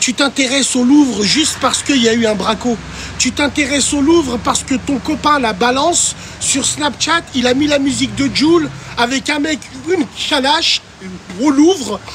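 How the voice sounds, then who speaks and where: Loud and animated, a man speaks at an extremely high pitch and a moderate pace with ordinary pitch variation over noticeable background noise. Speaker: TikTok live streamer. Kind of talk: casual live stream chat reading viewer comments. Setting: livestream.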